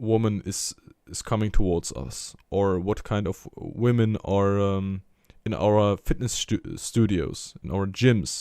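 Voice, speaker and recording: A man's fairly low, dark and mellow voice at a very slow pace, with ordinary pitch variation and big swings in loudness, on a very clean recording with a silent background. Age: 20s. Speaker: religious motivational vlogger. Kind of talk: personal monologue. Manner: halting.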